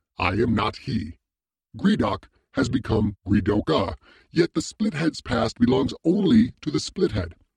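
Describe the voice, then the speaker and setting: A man puts on a character voice. His voice sounds resonant. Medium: read story. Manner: formal, measured, imperious.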